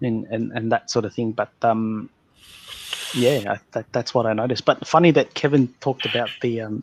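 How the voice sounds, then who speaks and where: A man with an Australian accent speaks at a moderate pace in a medium pitch. His intonation is fairly even, and the sound is dry and close with no echo. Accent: Australian, mild (says he doesn't talk broad). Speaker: podcast host. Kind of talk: casual chat. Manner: halting, many false starts and fillers.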